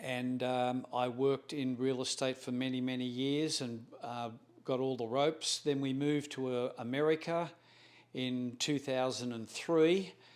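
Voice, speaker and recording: Speaking at a fairly slow pace, a man with an Australian accent keeps a medium pitch and a monotone, flat intonation. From Australia, Melbourne. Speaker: real estate broker. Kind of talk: self-introduction interview. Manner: halting, with fillers and self-corrections.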